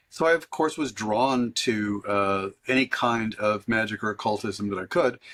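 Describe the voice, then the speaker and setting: A man with an American accent has a plain, everyday voice at a medium pitch. He keeps a moderate pace with ordinary pitch variation and hardly any pauses. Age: 60s. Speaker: author and witch. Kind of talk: interview.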